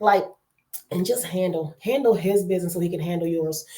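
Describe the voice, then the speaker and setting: A woman speaks loudly with an American accent. Her tone is animated. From New Jersey. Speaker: online talk show host. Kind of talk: casual chat.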